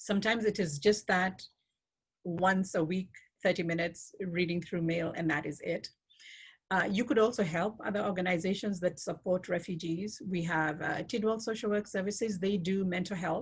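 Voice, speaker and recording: At a moderate pace, a woman talks in a medium-pitched, somewhat breathy voice with ordinary pitch variation. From Kenya. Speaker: refugee program worker and speaker. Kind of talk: Q&A at online talk.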